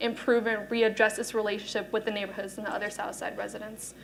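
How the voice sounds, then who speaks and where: Over noticeable background noise, a woman speaks in a fairly high voice with monotone, flat intonation. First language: Spanish. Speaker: student panelist. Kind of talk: panel discussion.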